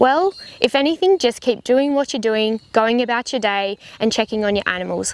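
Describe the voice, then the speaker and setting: In a dry sound with no echo, a woman with an Australian accent speaks at a fairly quick pace and fairly high pitch with lively intonation. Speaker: veterinarian. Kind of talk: informational talk to camera. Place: farm machine.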